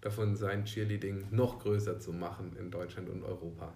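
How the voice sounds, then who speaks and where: Room echo is audible as a man speaks in a somewhat breathy voice. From southern Germany, Swabia (Unterelchingen near Ulm). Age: 30s. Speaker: cheerleading company employee, former cheerleader. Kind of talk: interview. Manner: hesitant, many fillers.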